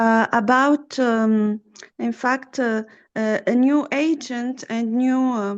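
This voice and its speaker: In a quiet background, a woman with a French accent speaks in a high pitch with ordinary pitch variation. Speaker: trainer of soft skills. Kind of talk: online Q&A session. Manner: halting, many fillers.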